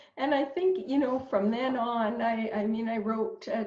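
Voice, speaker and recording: A woman's fairly high voice in a Canadian accent, at a fairly slow pace, over noticeable background noise. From Canada, Northern Ontario. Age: 60s. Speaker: dietitian. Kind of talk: interview. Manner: halting, many repetitions.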